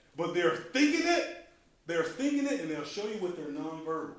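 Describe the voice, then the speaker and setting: An animated man, high-pitched with very wide pitch swings, at a fairly quick pace amid noticeable background noise and audible room echo. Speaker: volunteer trainer at a church after-school program. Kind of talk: training session. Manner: loud.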